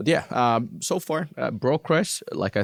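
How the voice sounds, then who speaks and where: A man with a Finnish accent is heard in a dry, close sound with no echo. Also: very clean recording, silent background. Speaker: recruiter. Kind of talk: interview. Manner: halting.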